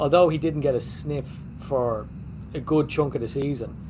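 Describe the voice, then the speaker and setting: There is audible room echo as a man speaks at a fairly high pitch with ordinary pitch variation. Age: 40s. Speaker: football podcast host. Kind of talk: casual chat.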